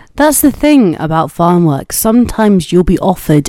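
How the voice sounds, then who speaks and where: A woman's voice with very wide pitch swings. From Cornwall. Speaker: podcast host. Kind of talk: scripted narration.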